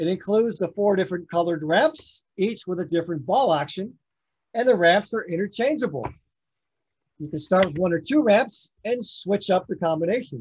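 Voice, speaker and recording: Speaking at a moderate pace with lively intonation, a man is heard over a quiet background. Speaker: toy demonstrator. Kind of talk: product demonstration. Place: home room.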